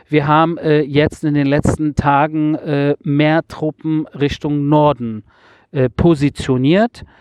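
In a dry, close sound with no echo, a man with a fairly high pitch talks at a very slow pace with fairly even intonation. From Germany, Berlin (Wedding). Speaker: podcast host reporting on war. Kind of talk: casual interview. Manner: hesitant, many filler sounds.

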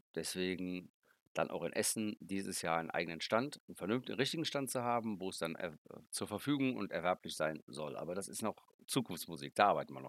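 A man talks at a fairly quick pace with a very deep, low pitch that swings very widely. The recording is very clean, with a silent background and a dry, close sound with no echo. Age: 50s. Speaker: board game designer. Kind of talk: interview.

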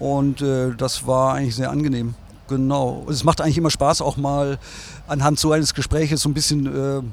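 Fairly high-pitched male voice at a moderate pace, monotone and flat in intonation. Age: 60s. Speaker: design agency owner. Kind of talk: interview. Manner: hesitant, many fillers.

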